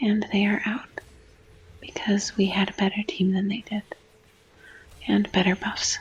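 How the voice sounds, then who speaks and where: Soft-spoken, a woman with a medium-pitched voice talks at a fairly slow pace in a monotone, flat manner. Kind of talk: gaming ASMR gameplay explanation.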